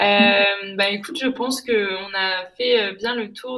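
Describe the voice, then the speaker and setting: A woman speaks at a medium pitch. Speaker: podcast host. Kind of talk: interview. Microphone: laptop microphone, poor sound.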